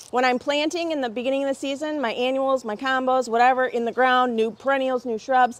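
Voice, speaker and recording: A woman talks at a fairly quick pace in an animated tone. Her pitch is high. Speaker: garden show host. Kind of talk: live stream product show. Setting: outdoors under a pavilion in the rain. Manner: fast.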